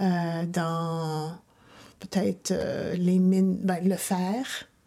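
The recording is very clean, and the background is silent. Her voice, a woman's, has a dark, mellow tone. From Ontario, Canada (Ottawa, Hamilton). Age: 60s. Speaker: interviewee, mother. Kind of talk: interview.

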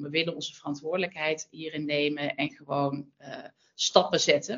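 A woman with a Brabant accent speaks at a moderate pace in a very deep, low pitch. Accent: Brabant soft G. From Brabant, Netherlands. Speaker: sustainability manager at fashion brand. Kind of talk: interview.

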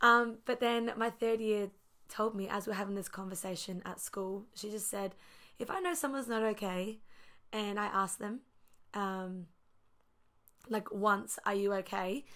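A woman with an Australian accent, medium pitch and a bright, sharp tone, at a fairly slow pace with long, frequent pauses. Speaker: ministry student. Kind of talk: casual chat.

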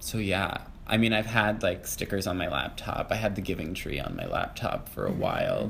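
The speech comes at a fairly quick pace. Audible room echo and noticeable background noise surround it. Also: man. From Massachusetts. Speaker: podcast guest, playwright. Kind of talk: casual interview.

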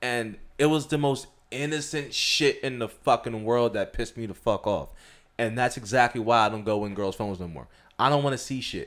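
On a very clean recording with a silent background, a man with a medium pitch speaks at a fairly quick pace in an animated tone with ordinary pitch variation. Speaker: podcast host. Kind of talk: casual banter.

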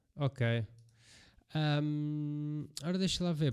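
A man with a European Portuguese accent on a very clean recording with a silent background. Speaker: MMA podcast co-host and referee. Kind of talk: casual chat.

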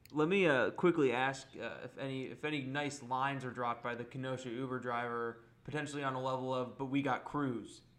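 This man has an ordinary speaking voice at medium pitch with fairly even intonation. He talks at a fairly quick pace with hardly any pauses. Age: 20s. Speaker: sports podcast host. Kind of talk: casual chat.

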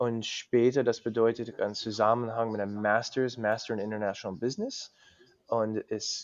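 A man speaks with an English accent. His pitch is medium and his intonation fairly even. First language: English (speaking German). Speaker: cyclist. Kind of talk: interview. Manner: halting, many fillers.

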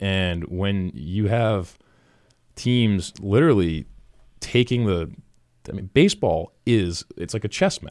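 A man with an American accent speaks very slowly in a fairly low voice, with ordinary pitch variation, big swings in loudness and long, frequent pauses. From Massachusetts, New England. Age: 20s. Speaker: professional baseball player. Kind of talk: casual interview.

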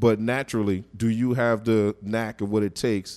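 In a New York accent, a man speaks at a fairly low pitch with a dark, mellow tone. The sound is dry and close with no echo, in a very clean recording with a silent background. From East New York, Brooklyn. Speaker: radio co-host. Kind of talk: radio interview. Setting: studio.

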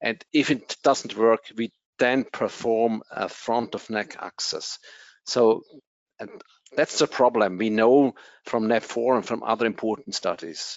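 At a very slow pace, a man with a German accent talks in a medium pitch and fairly even intonation. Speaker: anesthesiology professor. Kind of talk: interview. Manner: halting.

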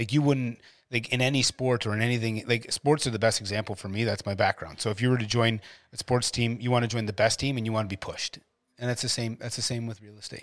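Very fast and fairly even in intonation, a man talks in a Canadian accent at a medium pitch. The recording is very clean with a silent background. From Ontario, Canada (Ottawa). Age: 40s. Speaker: realtor and home builder. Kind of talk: interview. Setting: studio.

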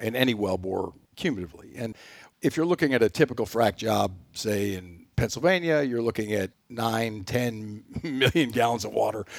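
With a Texan accent, a medium-pitched man talks at a fairly quick pace with lively intonation on a very clean recording with a silent background. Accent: Texan, Southern US. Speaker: energy company president. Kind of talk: interview. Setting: studio.

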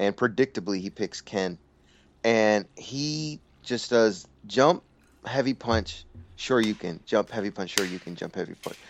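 A man with a plain, everyday voice talks at a fairly slow pace in a fairly low pitch, with ordinary pitch variation. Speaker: fighting game podcast co-host. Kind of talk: angry comedic rant about scrub players.

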